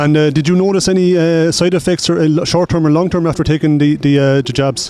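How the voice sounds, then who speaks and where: Noticeable background noise accompanies very fast speech in an Irish accent, with very even loudness. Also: man, fairly high pitch for a man. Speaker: street interviewer. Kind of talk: vox pop interview. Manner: halting.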